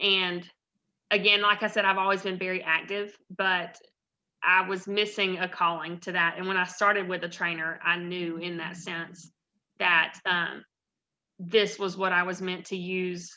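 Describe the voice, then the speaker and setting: With a Southern US accent, a woman speaks fairly slowly in a medium pitch, her tone bright and sharp and her intonation monotone and flat. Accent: Southern US (Georgia). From US South, north Georgia. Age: 30s. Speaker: personal trainer. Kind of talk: guest talk with Q&A. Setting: video call.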